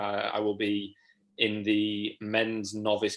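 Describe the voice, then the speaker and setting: On a very clean recording with a silent background, a man speaks at a fairly low pitch with an East Midlands accent. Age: 20s. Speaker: natural bodybuilder and online fitness coach. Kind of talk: casual chat.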